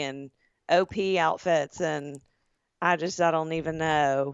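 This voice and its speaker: A woman talks in a Southern US accent with ordinary pitch variation. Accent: Southern drawl. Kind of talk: casual podcast conversation.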